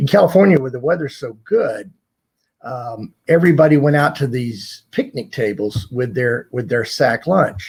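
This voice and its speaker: Speaking at a moderate pace with an American accent, a man with a medium pitch sounds somewhat breathy and uses lively intonation. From US South. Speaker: retired corporate executive. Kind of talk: interview storytelling.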